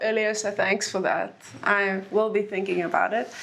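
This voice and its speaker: A woman with an Afrikaans accent speaks at a moderate pace and a fairly high pitch. Noticeable background noise can be heard. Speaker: author. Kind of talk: book talk Q&A.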